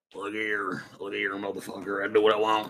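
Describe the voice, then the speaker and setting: A man puts on a character voice, fairly low in pitch and at a fairly quick pace. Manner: brash, cursing.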